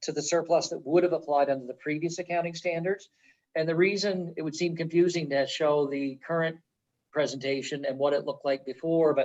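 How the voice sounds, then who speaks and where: A man speaks at a fairly quick pace. His intonation is fairly even. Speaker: auditor presenting financial statements. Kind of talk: financial report presentation. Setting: village council meeting. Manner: fast.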